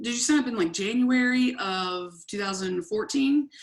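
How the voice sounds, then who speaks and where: A woman with an American accent. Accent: Southern drawl, comes out at times. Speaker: network marketing team leader. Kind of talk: team training call.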